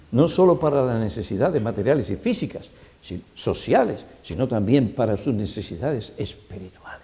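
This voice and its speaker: A man with a medium-pitched, dark, mellow, somewhat breathy voice speaks at a moderate pace with lively intonation, and audible room echo surrounds him. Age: 70s. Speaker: pastor. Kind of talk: sermon.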